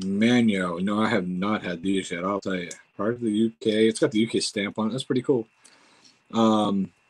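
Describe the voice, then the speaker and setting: The speaker uses an ordinary speaking voice with an American accent. The pace is moderate and the intonation fairly even. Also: man, fairly low pitch for a man. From United States. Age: 40s. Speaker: YouTuber doing food tasting. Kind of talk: casual livestream chat. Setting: home livestream. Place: home room. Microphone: webcam.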